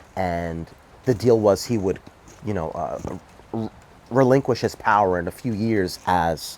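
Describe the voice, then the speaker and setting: A man's animated voice in a New York accent, with ordinary pitch variation. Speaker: political commentator. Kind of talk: casual monologue. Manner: halting.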